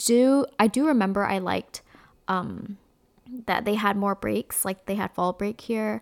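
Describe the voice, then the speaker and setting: Recorded very cleanly against a silent background, a woman with an American accent talks at a fairly slow pace in a dry, close sound with no echo. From US East Coast. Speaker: podcast host. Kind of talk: casual chat.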